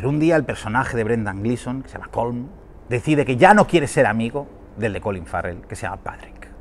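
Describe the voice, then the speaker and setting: Here a man is talking at a fairly quick pace. His intonation is lively. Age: 40s. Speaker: film critic. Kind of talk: film review. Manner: animated. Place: street.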